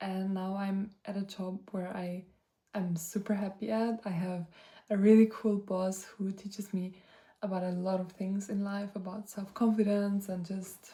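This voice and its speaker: A woman with medium pitch speaks at a fairly slow pace in a monotone, flat way. Her tone is dark and mellow, and somewhat breathy. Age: 20s. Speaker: vlogger. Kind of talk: casual chat. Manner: hesitant, many fillers.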